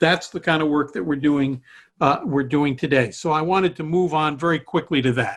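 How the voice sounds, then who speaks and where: A man with an ordinary speaking voice talks at a fairly quick pace and a fairly high pitch, with ordinary pitch variation. The background is quiet. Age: 60s. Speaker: cybersecurity research director and adjunct professor. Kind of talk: online presentation to students. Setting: video call. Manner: conversational.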